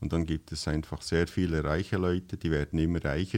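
A man speaks with a very deep, low voice. His intonation stays fairly even. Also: very clean recording, silent background. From western Switzerland, bilingual canton of Fribourg. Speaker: missionary organisation worker. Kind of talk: casual interview chat.

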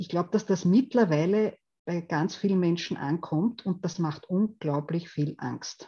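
At a fairly slow pace, a woman speaks in a fairly low, somewhat breathy voice with a dark, mellow tone and ordinary pitch variation. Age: 50s. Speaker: theology professor and values researcher. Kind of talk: lecture. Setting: video call.

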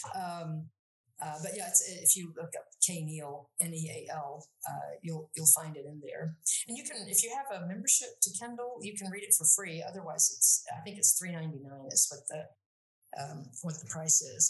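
A somewhat breathy voice with lively intonation and big swings in loudness. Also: woman, fairly low pitch for a woman, moderate pace. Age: 60s. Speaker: Latin educator. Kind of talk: interview. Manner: halting.

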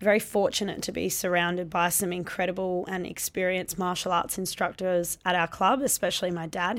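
This woman talks at a fairly quick pace with an Australian accent and a medium pitch. The recording is very clean, the background silent. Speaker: Muay Thai fighter and gym owner. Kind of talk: interview conversation.

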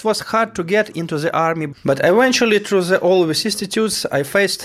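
A man speaks with a Ukrainian accent and ordinary pitch variation. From Ukraine, Poltava region. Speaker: soldier. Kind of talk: testimony.

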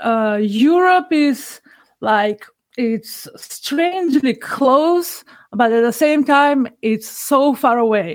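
Very slowly and at a high pitch, a woman speaks with lively intonation in a Macedonian accent. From North Macedonia. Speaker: podcast listener. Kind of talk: casual interview conversation.

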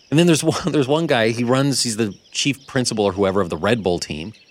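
Speaking at a very fast pace over noticeable background noise, a man uses lively intonation at a medium pitch. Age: young. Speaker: radio and podcast co-host. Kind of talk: casual chat. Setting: studio.

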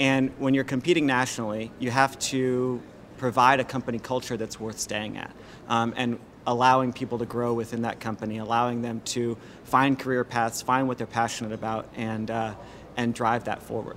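A man with an American accent speaks at a medium pitch and a moderate pace, his intonation monotone and flat. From Washington, D.C. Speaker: digital marketing agency director. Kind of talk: interview. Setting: restaurant.

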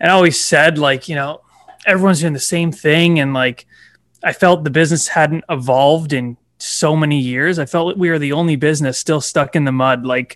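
Here a man speaks with a fairly high pitch. He keeps a moderate pace and fairly even intonation. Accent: Ontario. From Toronto, Canada. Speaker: realtor. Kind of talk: casual interview chat.

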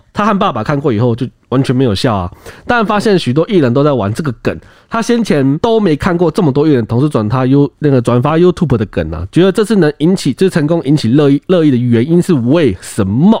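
A man talks at a fairly quick pace in a fairly high pitch, with very wide pitch swings. The sound is dry and close, without echo. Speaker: podcast co-host. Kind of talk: casual discussion.

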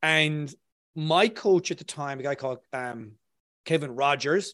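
A fairly high-pitched man with an Irish accent, in a dry, close recording with no echo over a quiet background. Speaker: copywriter, former engineer. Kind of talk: interview.

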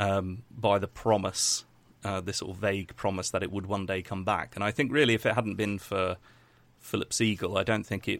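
On a very clean recording with a silent background, a man speaks with an English accent. His voice is fairly low, his pace moderate and his intonation fairly even. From England. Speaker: YouTube documentary maker. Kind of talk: casual interview.

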